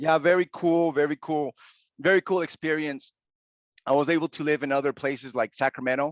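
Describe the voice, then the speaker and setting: In a Spanish accent, the speaker moves at a fairly quick pace with fairly even intonation, the sound dry and close with no echo and the background quiet. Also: man, fairly high pitch for a man. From Venezuela, then Utah, US. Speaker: online teacher. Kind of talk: podcast interview.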